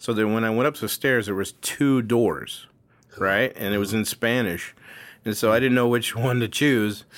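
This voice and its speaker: A man at a medium pitch and moderate pace, on a very clean recording with a silent background. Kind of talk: casual chat. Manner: animated, jokey.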